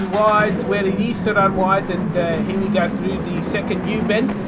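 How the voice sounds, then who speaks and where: A man speaks at a moderate pace in a high voice with a non-native accent, with audible room echo and noticeable background noise. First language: not English. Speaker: sim racing commentator. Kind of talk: live commentary. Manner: animated.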